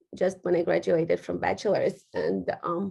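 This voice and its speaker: A woman with a Ukrainian accent, at a moderate pace. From western Ukraine. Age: 30s. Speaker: real estate agent. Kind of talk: interview. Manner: halting.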